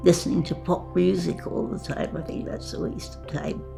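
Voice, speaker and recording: Moderate-paced speech over background music. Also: woman. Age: 80s+. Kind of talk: interview answer.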